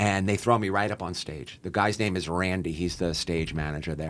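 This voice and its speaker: American accent, man, very deep, low pitch, ordinary pitch variation, fairly quick pace. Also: very clean recording, silent background. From New York, Long Island. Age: 60s. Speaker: gambler and social media content creator. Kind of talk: casual podcast interview. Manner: fast, animated.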